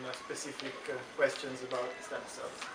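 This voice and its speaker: Against noticeable background noise and audible room echo, a man speaks at a fairly quick pace in an Italian accent. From Italy. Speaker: stem cell scientist. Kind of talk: talk to school students. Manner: halting, many fillers.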